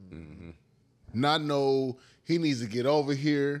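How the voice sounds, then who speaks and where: Against a quiet background, a man speaks with a fairly high pitch. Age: 30s. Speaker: podcast co-host. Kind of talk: casual chat. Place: home room. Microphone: studio mic.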